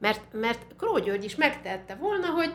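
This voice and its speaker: A woman at a moderate pace with an animated tone. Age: 60s. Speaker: musicologist and university teacher. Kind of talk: interview conversation.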